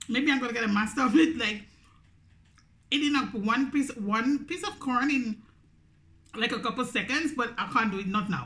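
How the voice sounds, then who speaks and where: A woman with a Grenadian accent speaks at a moderate pace in a high pitch with ordinary pitch variation. Her speech has long, frequent pauses. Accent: Grenadian Caribbean English. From Grenada. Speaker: YouTuber. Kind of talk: mukbang eating video monologue. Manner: animated. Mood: relaxed, chatty. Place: home room. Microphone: phone near.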